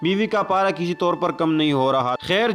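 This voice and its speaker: A man's high-pitched voice with music in the background. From Pakistan. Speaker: voice over artist. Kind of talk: moral story narration.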